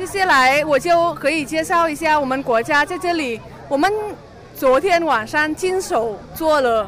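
Over crowd noise in the background, a woman speaks at a high pitch and a fairly slow pace. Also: ordinary pitch variation. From Vietnam, Hanoi. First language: Vietnamese (speaking Chinese). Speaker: international student. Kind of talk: interview at exhibition booth. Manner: halting.

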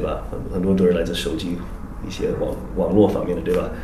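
A man with an English accent at a fairly quick pace, with audible room echo and noticeable background noise. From US, Oklahoma (Tulsa). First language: English (speaking Chinese). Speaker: wildlife conservation NGO representative. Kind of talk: interview conversation. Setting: office in Beijing. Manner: halting, many fillers and repetitions.

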